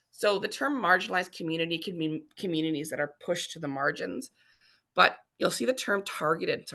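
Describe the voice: Doing a raspy put-on character voice, a woman speaks fairly low and fairly quick, with lively intonation and big swings in loudness.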